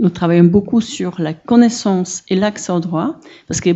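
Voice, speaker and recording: At a fairly quick pace, a woman with a strong non-native accent talks at a medium pitch with ordinary pitch variation. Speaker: audience member, social worker at an association. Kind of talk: Q&A question from the floor. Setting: conference hall. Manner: halting, many hesitations.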